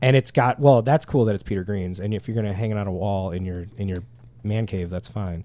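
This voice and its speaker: A man with a fairly low, dark, mellow voice speaks at a fairly quick pace in a very clean recording with a silent background. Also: ordinary pitch variation. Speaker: podcast host, guitar gear. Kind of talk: casual chat. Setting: studio.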